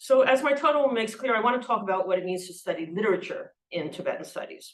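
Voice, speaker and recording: Very fast and lively in intonation, a woman speaks at a fairly high pitch. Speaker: professor. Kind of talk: lecture.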